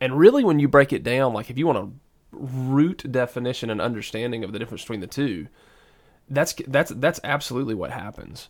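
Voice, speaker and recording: In a very clean recording with a silent background, a man with a Southern US accent speaks at a fairly quick pace and medium pitch, with ordinary pitch variation and big swings in loudness. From US South. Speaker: podcast co-host and preacher. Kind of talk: casual faith discussion.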